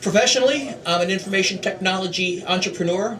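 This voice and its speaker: A man with a high pitch and an American accent speaks with ordinary pitch variation, amid audible room echo and noticeable background noise. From US, Philadelphia (North Philadelphia). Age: 60s. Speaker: political candidate. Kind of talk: stump speech. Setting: meeting hall with audience. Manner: practiced public speaker.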